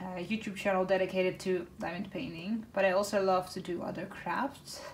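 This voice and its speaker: A woman talks at a medium pitch. She has a Dutch accent. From northern Netherlands, Groningen. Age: 20s. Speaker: craft YouTuber. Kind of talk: casual chat. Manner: hesitant, many fillers.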